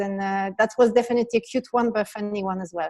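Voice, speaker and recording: A woman talks at a fairly quick pace with a French accent and a dark, mellow tone. Her intonation is fairly even against a quiet background. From France. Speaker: business leader. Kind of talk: interview.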